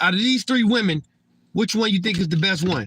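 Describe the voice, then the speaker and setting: A man with a high pitch projects a raised voice, bright and sharp in tone. His intonation is lively. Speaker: livestreamer. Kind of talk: casual livestream monologue. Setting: live stream. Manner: stuttering, repeats words.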